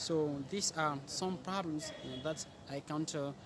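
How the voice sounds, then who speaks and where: A man with a normal speaking voice talks at a fairly slow pace and a fairly high pitch, with ordinary pitch variation. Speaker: English learner. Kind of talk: interview answer.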